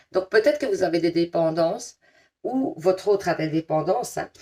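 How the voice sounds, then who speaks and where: A woman with a strong Liège accent, medium pitch, lively intonation and a moderate pace. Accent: strong Liège Belgian French. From Belgium, Liège. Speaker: tarot card reader. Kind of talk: tarot reading to viewers; casual chat. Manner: casual, hesitant with many fillers.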